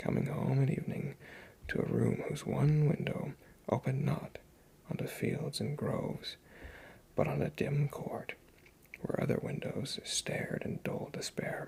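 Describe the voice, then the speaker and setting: Whispering with long, frequent pauses. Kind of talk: ASMR story reading. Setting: home recording on USB mic. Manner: soft-spoken.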